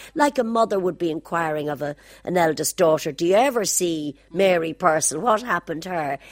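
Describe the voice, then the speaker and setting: A woman with a Dublin accent speaks at a fairly quick pace with lively intonation. Her pitch is fairly low, and the sound is dry and close, with no echo. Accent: Dublin Irish. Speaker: singer. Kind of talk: reminiscing interview.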